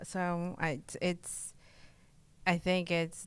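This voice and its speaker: On a very clean recording with a silent background, a woman talks in a Spanish accent at a fairly low pitch. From Mexico, Oaxaca. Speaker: real estate broker. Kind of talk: interview. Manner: hesitant, many fillers.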